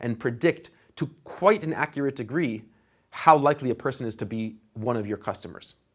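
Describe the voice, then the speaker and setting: Medium pitch from a man, varying in an ordinary way. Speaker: online course instructor. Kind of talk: lecture. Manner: fast; animated.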